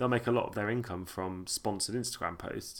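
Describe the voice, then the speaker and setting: With a southern English accent, a man speaks fairly quickly in a fairly low pitch with ordinary pitch variation, in a very clean recording with a silent background. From Sussex, England. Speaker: podcast host. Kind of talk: casual chat. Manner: casual, bantering.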